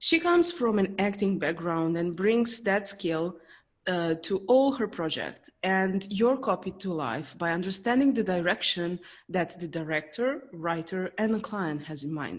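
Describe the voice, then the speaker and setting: A woman has a normal speaking voice at medium pitch. She talks at a fairly slow pace. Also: lively intonation. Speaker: business coach. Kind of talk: podcast host introduction.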